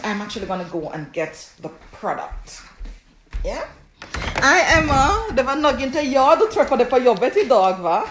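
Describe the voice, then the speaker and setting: With a Jamaican accent, a woman speaks at a fairly high pitch and a moderate pace. Her pitch swings are very wide. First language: Jamaican Patois. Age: 40s. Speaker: herbalist and skincare product maker. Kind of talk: live stream Q&A. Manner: casual, hesitant with fillers.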